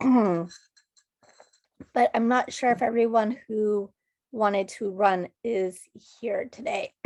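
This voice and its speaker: A woman's strained voice moves at a very slow pace, with long, frequent pauses. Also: fairly high pitch for a woman, ordinary pitch variation. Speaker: student organization leader. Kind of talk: club meeting address. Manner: strained, effortful speech.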